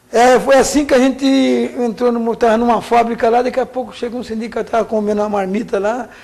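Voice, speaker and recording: A man's voice over noticeable background noise. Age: 60s. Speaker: trade union leader. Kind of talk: interview.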